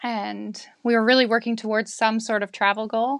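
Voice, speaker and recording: A woman talks at a moderate pace in a Canadian accent. The background is quiet. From Victoria, Canada. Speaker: liveaboard sailor, parent. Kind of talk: casual chat.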